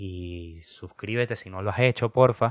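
With ordinary pitch variation, a man speaks in a dry, close recording with no echo and a quiet background. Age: 20s. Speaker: podcast host. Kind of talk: casual monologue. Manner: animated.

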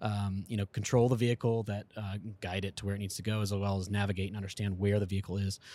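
Recorded very cleanly against a silent background, a man with fairly low pitch talks in an ordinary speaking voice. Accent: American. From US South, Shenandoah Valley, Virginia. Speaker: guidance and navigation engineer. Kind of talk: casual chat.

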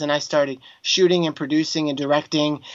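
A man with a plain, everyday voice talks at a fairly quick pace in a fairly high pitch, with fairly even intonation. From Texas. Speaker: filmmaker and former worship singer. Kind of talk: interview.

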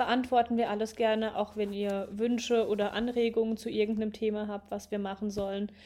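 The voice has a dark, mellow tone and moves at a fairly quick pace. Its intonation is monotone and flat. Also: woman. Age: 20s. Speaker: podcast host, nurse. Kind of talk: casual chat.

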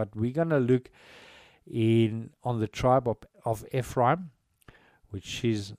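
A man with a South African accent talks at a fairly slow pace and fairly even intonation. The recording is very clean with a silent background and a dry, close sound with no echo. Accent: South African (Afrikaans) English. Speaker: lay preacher and online radio broadcaster. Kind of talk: Bible teaching broadcast. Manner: halting, with frequent restarts.

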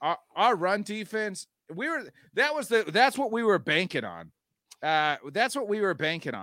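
In a raised, projected voice, a man speaks at a moderate pace with a high pitch, very wide pitch swings and a bright, sharp tone on a very clean recording with a silent background. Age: 30s. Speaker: sports podcast host. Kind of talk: casual sports chat.

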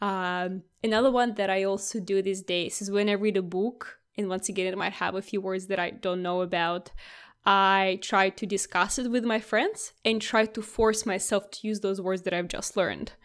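Hardly pausing, a woman with a Russian accent speaks at a moderate pace and a medium pitch in a monotone, flat voice, on a very clean recording with a silent background. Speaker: tech podcast co-host. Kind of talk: casual chat. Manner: many filler words and false starts.

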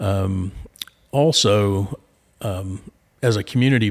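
Speaking in a fairly low register, a man talks with a Southern US accent. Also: very clean recording, silent background. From Arkansas, Little Rock. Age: 50s. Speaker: commercial banker. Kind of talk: interview. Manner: hesitant, many fillers.

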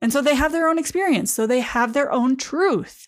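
Recorded very cleanly against a silent background, a woman with an American accent speaks in a high pitch with lively intonation. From Michigan, US. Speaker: dietitian and podcast host. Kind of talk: casual monologue.

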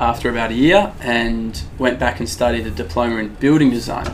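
Amid noticeable background noise and audible room echo, a man with an Australian accent and medium pitch speaks at a moderate pace. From Perth, Western Australia. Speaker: gym owner. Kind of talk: casual chat.

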